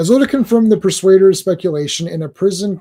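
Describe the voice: What is heard here is plain reading aloud.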